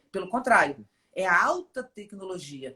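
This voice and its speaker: Her pitch leaping very widely, a woman talks rather slowly. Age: 50s. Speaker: philosopher and poet. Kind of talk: interview conversation.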